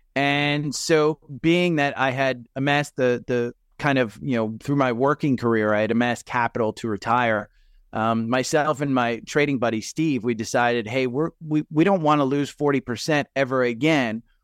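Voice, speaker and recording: In a dry, close recording with no echo and a quiet background, a man with a New Jersey accent speaks at a moderate pace and medium pitch with ordinary pitch variation. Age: 50s. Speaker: retired investor and stock podcaster. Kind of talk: casual interview chat.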